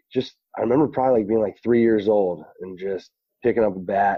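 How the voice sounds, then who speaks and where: Fairly even intonation from a man with an American accent, fairly low-pitched, at a moderate pace. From Pennsylvania, Reading. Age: 20s. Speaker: professional baseball player. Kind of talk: podcast interview. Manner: hesitant, many fillers.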